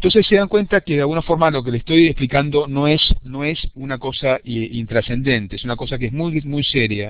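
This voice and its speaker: Speaking at a fairly quick pace with hardly any pauses, a man uses a fairly high pitch with ordinary pitch variation. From Argentina. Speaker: university lecturer. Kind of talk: lecture. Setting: video conference. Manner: fast.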